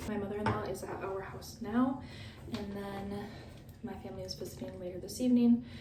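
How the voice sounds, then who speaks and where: Over noticeable background noise and audible room echo, a woman is whispering. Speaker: vlogger. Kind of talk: vlog diary.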